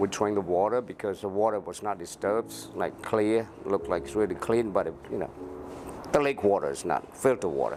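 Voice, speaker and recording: A man with a strong Cambodian accent talks at a fairly quick pace in a fairly low pitch. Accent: thick Cambodian. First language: Khmer. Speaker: former Secret Service officer, refugee survivor. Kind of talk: interview. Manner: halting.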